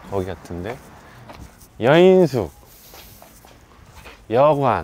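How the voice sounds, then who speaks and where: With very wide pitch swings, a man speaks in a dry sound with no echo. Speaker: travel and food vlogger; food vlogger. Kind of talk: walking travel vlog narration. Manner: casual, conversational. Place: street. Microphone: phone near.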